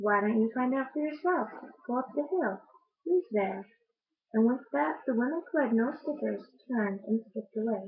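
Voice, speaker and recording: A soft-spoken woman with a fairly high pitch and lively intonation. She leaves long, frequent pauses. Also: moderate pace. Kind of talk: picture book read aloud.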